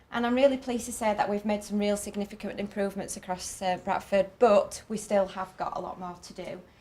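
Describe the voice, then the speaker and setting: With a northern English accent, a woman speaks at medium pitch and a fairly quick pace with hardly any pauses, fairly even intonation and big swings in loudness, over noticeable background noise. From northern England. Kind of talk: conference talk. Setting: conference stage with audience. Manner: fast.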